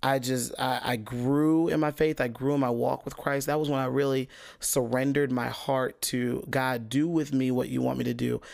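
Very clean recording, silent background. A man speaks at medium pitch and moderate pace with fairly even intonation. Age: 30s. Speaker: podcast host and worship leader. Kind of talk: solo podcast monologue. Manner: casual with frequent fillers and repetitions.

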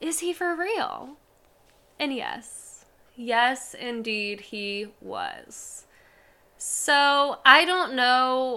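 At a very slow pace, a woman with a high-pitched, bright, sharp tone uses a raised, projected voice, lively intonation and big swings in loudness, on a very clean recording with a silent background. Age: 30s. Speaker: podcast host. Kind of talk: casual monologue. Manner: animated.

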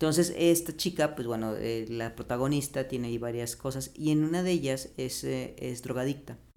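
Speaking at a moderate pace with hardly any pauses, a man with a Mexican accent has a medium pitch, ordinary pitch variation and a dark, mellow tone. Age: 30s. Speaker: biologist. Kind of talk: casual chat.

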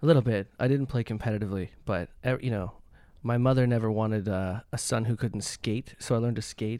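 A man's medium-pitched, dark and mellow voice with a Canadian accent, a fairly quick pace and fairly even intonation, on a very clean recording with a silent background. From Canada. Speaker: composer and pianist. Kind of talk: casual chat.

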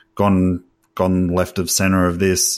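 A man talks in a fairly low pitch with an Australian accent. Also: very clean recording, silent background. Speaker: podcast co-host. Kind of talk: casual chat.

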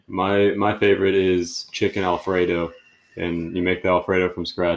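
A man speaks fairly quickly in a very deep, low, flat monotone. The recording is very clean with a silent background. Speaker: podcast host. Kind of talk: casual chat. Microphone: trying a new mic.

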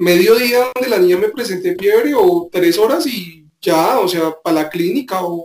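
Intonation is lively as a man speaks at a fairly slow pace. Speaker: podcast co-host. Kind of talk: casual chat.

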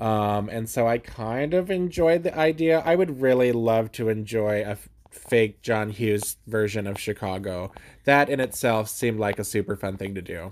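An unremarkable speaking voice from a man at medium pitch, lively intonation and a moderate pace, on a very clean recording with a silent background. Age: 30s. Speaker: book podcast host. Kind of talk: casual chat.

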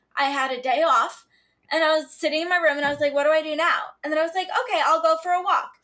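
A woman's raised, projected voice at an extremely high pitch, bright and sharp in tone, at a very fast pace. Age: 20s. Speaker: podcast co-host. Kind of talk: casual chat.

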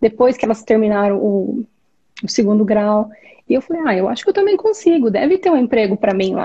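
This woman speaks at a fairly high pitch. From Brazil, interior of Goiás. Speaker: speech therapist and immigrant. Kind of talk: interview. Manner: hesitant, many fillers.

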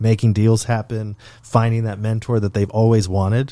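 A man's medium-pitched voice with a dark, mellow tone and monotone, flat intonation. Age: 30s. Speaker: podcast host and founder. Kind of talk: casual chat.

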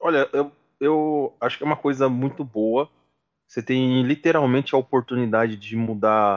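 An unremarkable speaking voice talks at a moderate pace with ordinary pitch variation, its sound dry and close with no echo against a quiet background. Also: man. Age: 20s. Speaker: sales executive, student association member. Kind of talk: casual interview.

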